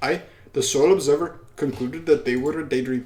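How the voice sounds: A man with a fairly high pitch and slightly mellow tone talks at a fairly quick pace with ordinary pitch variation.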